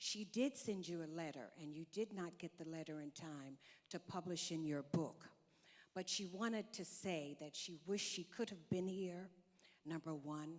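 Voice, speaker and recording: Here is a woman with a plain, everyday voice and an American accent. She keeps a moderate pace, ordinary pitch variation and a fairly low pitch. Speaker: diplomat. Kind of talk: conference speech. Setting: stage with audience.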